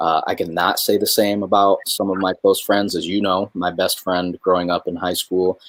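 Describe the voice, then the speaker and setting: A man speaking with hardly any pauses, in a dry, close sound with no echo. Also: moderate pace. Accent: Midwestern. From New York, then Michigan. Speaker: spoken word poet, military veteran. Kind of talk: casual conversation in a livestream.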